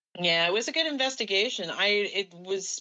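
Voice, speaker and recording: This woman has an unremarkable speaking voice and keeps a moderate pace. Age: 60s. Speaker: paranormal investigator. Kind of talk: casual chat.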